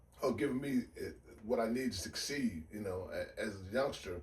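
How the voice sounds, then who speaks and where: Somewhat breathy, a man with an American accent talks at a moderate pace, with a medium pitch and lively intonation. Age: 60s. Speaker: retired basketball coach. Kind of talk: casual interview.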